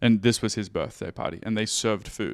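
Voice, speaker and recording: An Australian accent marks this man's speech. His intonation is flat and monotone, with vocal fry. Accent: Australian, still fairly intact. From Australia, Sydney. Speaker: music producer. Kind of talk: casual chat.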